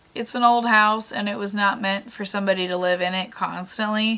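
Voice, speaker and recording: Noticeable background noise accompanies a woman's voice. She speaks at a medium pitch with fairly even intonation. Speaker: rancher. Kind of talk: casual vlog talk to camera.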